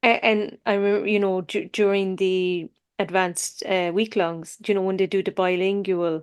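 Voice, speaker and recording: A woman's monotone, flat delivery in an Irish accent, medium pitch, moderate pace, on a very clean recording with a silent background. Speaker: podcast host. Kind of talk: casual chat. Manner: halting.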